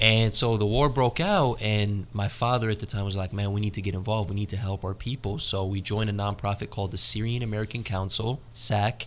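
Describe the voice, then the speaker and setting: A man rattles along at a very fast pace with hardly any pauses, fairly low in pitch and fairly even in intonation. Noticeable background noise sits behind him. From US, California. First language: Arabic. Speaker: entrepreneur. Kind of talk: podcast interview. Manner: casual.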